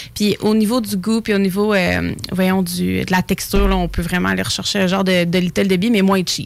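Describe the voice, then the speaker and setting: With hardly any pauses, a woman speaks at a moderate pace in an ordinary speaking voice, her pitch medium, her loudness very even and her intonation fairly even. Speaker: snack shop owner. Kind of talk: casual chat.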